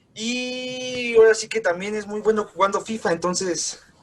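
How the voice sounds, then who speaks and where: A man with a high-pitched voice talks over music in the background. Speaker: podcast host. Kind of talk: podcast host talk. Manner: casual, friendly.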